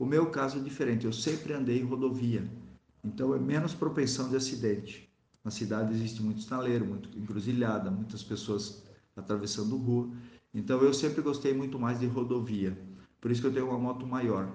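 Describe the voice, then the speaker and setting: A man's dark, mellow tone with ordinary pitch variation and audible room echo. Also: medium pitch for a man. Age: 40s. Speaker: priest and motorcyclist. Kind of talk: interview testimony.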